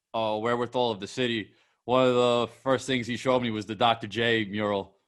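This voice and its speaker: A man with an American accent has an ordinary speaking voice at a medium pitch. He speaks at a fairly quick pace with fairly even intonation. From New York. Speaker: podcast host. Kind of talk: casual interview.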